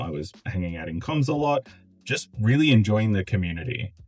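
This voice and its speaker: An Australian accent colors this man's speech. His voice sits fairly low. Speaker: gaming content creator. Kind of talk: video essay. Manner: casual, conversational.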